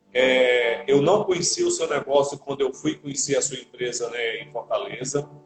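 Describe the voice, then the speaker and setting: With music in the background, a man speaks at a fairly high pitch with ordinary pitch variation. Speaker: live show host. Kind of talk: live interview. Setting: Instagram live.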